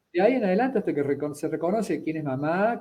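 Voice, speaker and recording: His intonation is lively. This man speaks at a fairly high pitch. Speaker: psychologist and anthropology student. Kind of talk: conversational interview on a live stream. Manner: hesitant, with many fillers and self-corrections.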